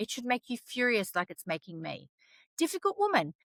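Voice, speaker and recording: Loud and animated, a woman with fairly high pitch talks at a fairly quick pace with very wide pitch swings. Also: dry, close sound with no echo. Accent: Australian. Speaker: storyteller, vlogger. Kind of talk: impassioned opinion vlog.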